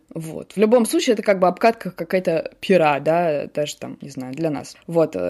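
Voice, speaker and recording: A woman with a fairly low pitch and a dark, mellow tone speaks at a moderate pace with lively intonation. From Russia, Samara. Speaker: journalist and producer. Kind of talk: interview, personal conversation.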